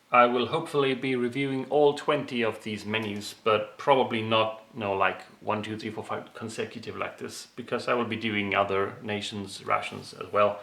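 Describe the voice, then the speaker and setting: At a moderate pace and medium pitch, a man talks with fairly even intonation and hardly any pauses over noticeable background noise. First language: not English. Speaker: ration reviewer, video creator. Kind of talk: product review monologue. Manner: casual, some hesitations.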